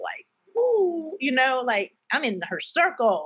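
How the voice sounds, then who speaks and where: A high-pitched woman's voice with a Southern US accent and very wide pitch swings. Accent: Southern US country. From US South, South Carolina. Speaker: nonprofit founder and military spouse. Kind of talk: podcast interview. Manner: animated.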